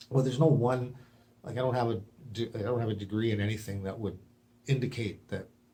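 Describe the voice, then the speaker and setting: His voice is somewhat breathy. The man's pitch sits in the medium range. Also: long, frequent pauses. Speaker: video blogger with a medical theory. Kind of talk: monologue to camera. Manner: halting.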